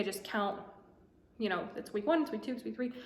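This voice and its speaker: Noticeable noise runs in the background. A woman talks over it. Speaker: vlogger. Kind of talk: casual vlog monologue. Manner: fast.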